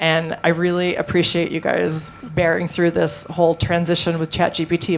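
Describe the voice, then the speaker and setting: Music plays in the background as a woman speaks at a moderate pace. Her fairly low voice stays flat and monotone. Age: young. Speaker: real estate marketing panelist. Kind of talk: panel discussion. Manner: casual, filler-heavy.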